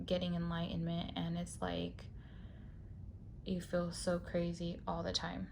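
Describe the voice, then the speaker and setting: A woman speaks at a fairly slow pace, with audible echo from the room. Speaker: tarot reader. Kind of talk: tarot reading.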